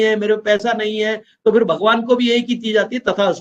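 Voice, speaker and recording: A man with a high-pitched voice. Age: 60s. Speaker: network marketing business trainer. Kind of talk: motivational business training talk.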